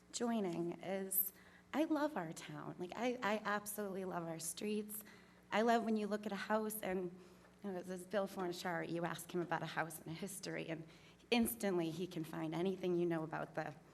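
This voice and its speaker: A woman with an eastern Massachusetts accent, medium pitch, ordinary pitch variation and a moderate pace, with audible room echo. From Massachusetts, North Plymouth. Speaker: applicant for town commission. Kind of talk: public comment at town meeting. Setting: town meeting hall, at podium. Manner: hesitant, many ums.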